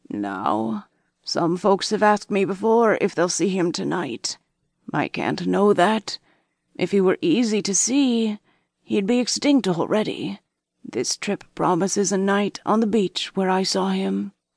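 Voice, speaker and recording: In a put-on character voice, a woman speaks raspy and croaky at medium pitch and a fairly slow pace, with a dry, close sound, no echo and a quiet background. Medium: read story. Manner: mysterious, hushed storytelling.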